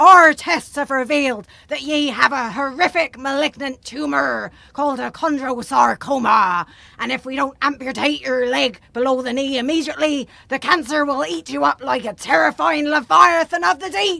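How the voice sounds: A high-pitched, put-on character voice. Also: moderate pace.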